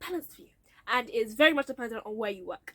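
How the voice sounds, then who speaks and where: Delivered at a very fast pace with a British accent, the voice has a bright, sharp tone and lively intonation, recorded dry and close with no echo. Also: woman. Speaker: YouTuber sharing career story. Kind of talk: casual vlog storytelling.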